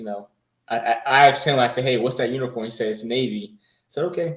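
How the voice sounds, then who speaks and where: A man with a medium-pitched voice talks in a New Jersey accent. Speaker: coding bootcamp graduate, Navy veteran. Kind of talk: interview. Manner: hesitant, many fillers.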